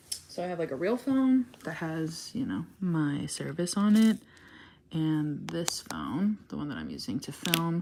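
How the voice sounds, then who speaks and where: At a fairly slow pace, a woman with a fairly low pitch speaks with very wide pitch swings over noticeable background noise. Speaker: craft livestreamer. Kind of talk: casual livestream chat while crafting. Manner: quiet, soft-spoken.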